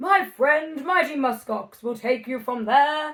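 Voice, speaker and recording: A woman puts on a character voice. She pitches it high and speaks at a fairly slow pace. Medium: read story. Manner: proclaiming, lofty.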